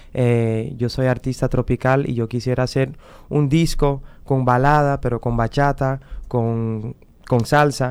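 A man with a non-native accent at a fairly slow pace, monotone and flat in intonation and very even in loudness, on a very clean recording with a silent background. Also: medium pitch for a man. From Netherlands. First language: Dutch (speaking Spanish). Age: 30s. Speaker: singer. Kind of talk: interview. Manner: halting.

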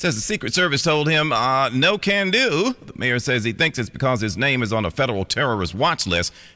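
A man's bright, sharp, medium-pitched voice with vocal fry, fairly quick pace, hardly any pauses and very wide pitch swings. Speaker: radio news anchor. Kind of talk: radio news anchor reading a brisk, scripted local headline bulletin. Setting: radio studio. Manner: crisp, formal, steady newsreader delivery.

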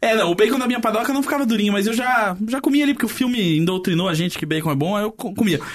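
Amid noticeable background noise, a man races along at a very fast pace with hardly any pauses, his high pitch carrying lively intonation. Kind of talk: casual chat.

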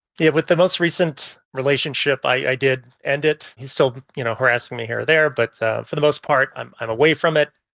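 Speaking at a fairly quick pace, a man with a fairly high pitch and vocal fry comes through in a dry, close sound with no echo over a quiet background. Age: 40s. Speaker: caller. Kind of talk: advice call.

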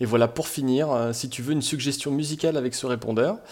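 Speaking at a moderate pace, a man has a medium pitch and a plain, everyday voice. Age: 20s. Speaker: listener. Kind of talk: voicemail message.

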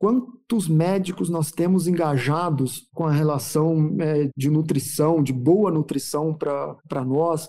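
A man with a dark, mellow tone talks at a very slow pace, with hardly any pauses. His pitch varies in an ordinary way. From interior of São Paulo state, Brazil. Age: 40s. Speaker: veterinarian and agribusiness marketing executive. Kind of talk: interview. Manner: halting, frequent word repetitions.

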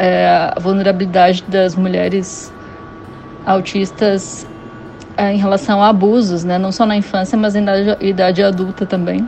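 Over noticeable background noise, a woman speaks at medium pitch. Her pace is fairly slow and her intonation is monotone and flat. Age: 30s. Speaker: listener. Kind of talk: voice message. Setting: WhatsApp voice message.

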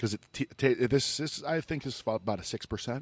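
In an American accent, a man uses an ordinary speaking voice at a fairly quick pace with ordinary pitch variation, the sound dry and close with no echo. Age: 40s. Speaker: podcast host. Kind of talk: casual interview. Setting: brewery in a cinema.

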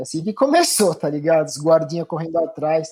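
A man is talking at a moderate pace. His tone is dark and mellow. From São Paulo, Brazil. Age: 40s. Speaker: former pro cyclist, bike coach. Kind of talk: casual interview chat.

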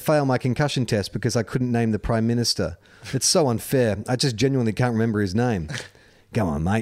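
The voice reads the text aloud in a plain way.

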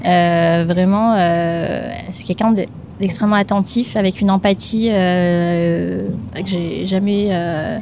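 Noticeable background noise sits behind a woman's voice. She speaks at a medium pitch with fairly even intonation. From Madagascar, Antananarivo. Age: 20s. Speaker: podcast co-founder. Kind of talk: interview conversation. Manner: hesitant, many fillers.

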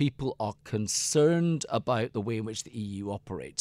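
A man with a Scottish accent speaks at a moderate pace, his pitch swinging very widely. The recording is very clean, with a silent background and a dry, close sound with no echo. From Scotland. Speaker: author and business political adviser. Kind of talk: interview. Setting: studio.

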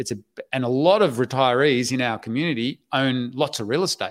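Here is a man at medium pitch. He speaks with an Australian accent. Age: 50s. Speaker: online business educator and website investor. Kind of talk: interview. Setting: livestream video call.

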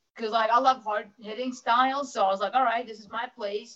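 The woman has an ordinary speaking voice at a fairly high pitch. She keeps a moderate pace with ordinary pitch variation. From New Jersey. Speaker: professional wrestler. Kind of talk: casual interview.

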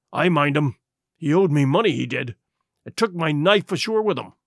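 Growling in a put-on character voice, a man talks at a fairly quick pace with a fairly high pitch. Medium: read story. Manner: growling, gloomy.

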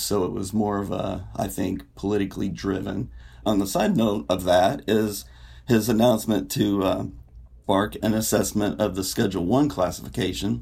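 A man's dark, mellow voice with vocal fry, fairly low in pitch, with lively intonation at a moderate pace. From Indiana, US Midwest. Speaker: writer. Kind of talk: podcast discussion.

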